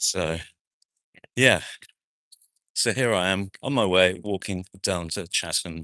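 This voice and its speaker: Against a quiet background, the tone comes across bright and sharp, with a dry, close sound and no echo. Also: man. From New Zealand, South Auckland. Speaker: actor and vlogger. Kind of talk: live-stream walking vlog. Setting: outdoors at a street festival, walking. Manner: casual, hesitant with many fillers.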